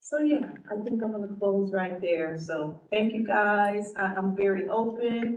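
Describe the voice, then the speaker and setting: Audible room echo surrounds fairly slow speech that has ordinary pitch variation. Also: woman. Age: 60s. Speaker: cannabis oversight committee member. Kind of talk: committee member self-introduction.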